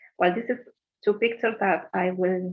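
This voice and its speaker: Here a woman talks with a Spanish accent. Her pitch is fairly low, with ordinary variation. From Argentina, La Plata. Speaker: sociologist. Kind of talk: conference presentation. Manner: halting.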